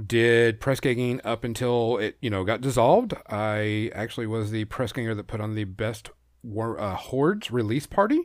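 A man with a plain, everyday voice talks at a moderate pace with hardly any pauses, in a medium pitch and fairly even intonation. The recording is very clean, with a silent background. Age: 40s. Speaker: tabletop gaming event organizer. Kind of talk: casual interview.

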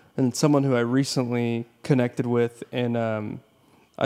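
A man talks in an unremarkable speaking voice at medium pitch, with fairly even intonation. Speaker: podcast host. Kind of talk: casual interview chat.

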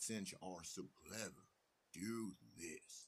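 Putting on a character voice, a man speaks fairly slowly with a very deep, low pitch. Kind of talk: bedtime story. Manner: scornful, then grudgingly impressed.

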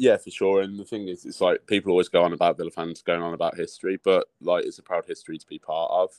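In a Birmingham accent, a man talks very fast with hardly any pauses and big swings in loudness. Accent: Birmingham (Brummie) English. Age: 30s. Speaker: football fan. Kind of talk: casual chat.

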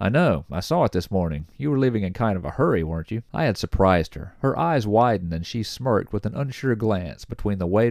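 Lively intonation colors this plain reading aloud.

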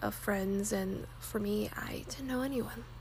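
Noticeable background noise sits behind a woman speaking in an American accent. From Texas. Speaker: podcast host, college student. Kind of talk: casual monologue. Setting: home recording without proper mic.

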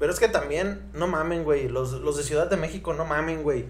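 The tone is animated, with ordinary pitch variation and a moderate pace. Audible room echo surrounds the voice. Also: man. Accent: Mexican. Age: 20s. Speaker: podcast host. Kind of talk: casual chat.

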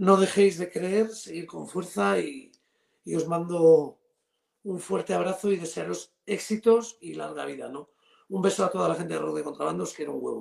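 A man speaks at a moderate pace, his loudness swinging widely up and down. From Spain, Cantabria. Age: 50s. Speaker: rock guitarist and singer. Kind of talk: interview. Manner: halting, repeats words.

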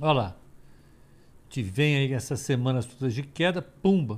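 A man with a Brazilian accent speaks at a moderate pace, his pitch swinging very widely. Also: very clean recording, silent background. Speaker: financial market analyst. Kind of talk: live market commentary call. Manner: halting, many repetitions and fillers.

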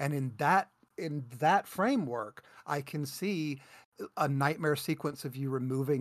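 A man with a normal speaking voice, a fairly high pitch and ordinary pitch variation at a fairly slow pace, on a very clean recording with a silent background. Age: 50s. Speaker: gaming podcast co-host. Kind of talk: casual chat.

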